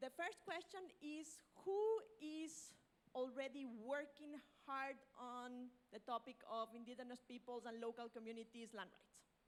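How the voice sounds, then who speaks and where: A woman with a high voice talks at a fairly slow pace, her pitch varying normally while her loudness rises and falls sharply. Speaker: panel moderator. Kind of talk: conference panel introduction. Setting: conference room with live audience.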